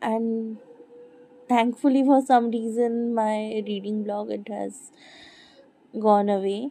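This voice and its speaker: Very slowly, a woman speaks in a dark, mellow, fairly high voice with monotone, flat intonation. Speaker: book vlogger. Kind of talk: casual chat. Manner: rambling, hesitant.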